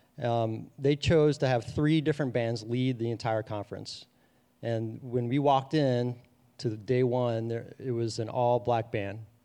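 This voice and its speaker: With an American accent, a man speaks in a plain, everyday voice at medium pitch, fairly slow and with fairly even intonation. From US Midwest, Cincinnati area, Ohio. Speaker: ministry staff member. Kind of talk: personal testimony. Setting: church classroom with live audience.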